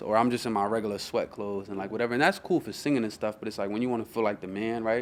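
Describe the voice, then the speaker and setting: Speaking very fast in a New York accent, a man with a fairly low pitch keeps his intonation fairly even. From New York City (Queens, Brooklyn). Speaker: rapper. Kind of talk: casual interview chat.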